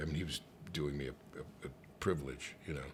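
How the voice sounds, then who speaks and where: A man speaks with an American accent. His voice has vocal fry. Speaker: actor, comedian, singer, voice over artist, radio host. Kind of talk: casual interview answer, anecdote telling. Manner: animated, conversational, comedic.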